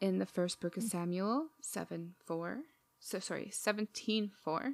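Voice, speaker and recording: A woman talks in a plain, everyday voice at medium pitch with ordinary pitch variation, the sound dry and close with no echo. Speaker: podcast host. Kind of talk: casual chat. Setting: video call with headphones.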